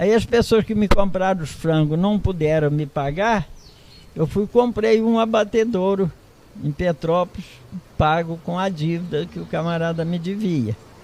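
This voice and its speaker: A man with a high voice talks at a fairly slow pace, his pitch varying in an ordinary way. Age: 80s+. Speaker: retired farmer. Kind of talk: interview.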